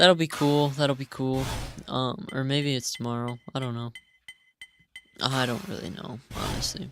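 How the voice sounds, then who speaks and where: Over music in the background, the speech moves at a fairly slow pace with long, frequent pauses. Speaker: gaming youtuber. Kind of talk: gameplay commentary voiceover. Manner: casual, hesitant with fillers.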